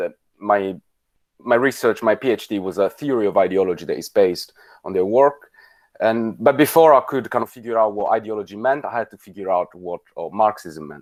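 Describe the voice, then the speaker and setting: Speaking with an Italian accent, a man talks at a fairly quick pace in a fairly low pitch with ordinary pitch variation. His loudness swings widely on a very clean recording with a silent background. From Italy. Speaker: politics lecturer. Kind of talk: lecture. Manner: halting, many fillers.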